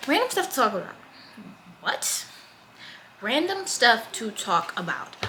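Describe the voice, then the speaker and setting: A woman with an American accent speaks in a high pitch, her voice making very wide pitch swings. Long, frequent pauses break up her speech over noticeable background noise. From United States. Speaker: vlogger, college student. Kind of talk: casual chat. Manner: fast; animated.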